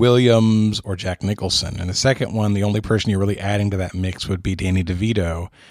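It's a plain, everyday voice with fairly even intonation. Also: man. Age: 40s. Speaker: podcast host. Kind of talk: trivia game show chat. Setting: home studio.

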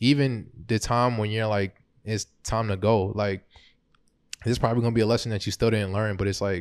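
An unremarkable speaking voice from a man with an American accent, fairly low in pitch, fairly even in intonation and fairly quick in pace, on a very clean recording with a silent background. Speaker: podcast co-host. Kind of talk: casual chat. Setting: studio.

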